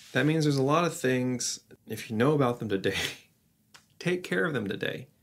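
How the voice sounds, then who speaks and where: The man delivers his words at a fairly quick pace. Lively intonation runs through his speech. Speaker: vlogger. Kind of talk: reflective podcast-style vlog talk. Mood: reflective, earnest. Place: home room.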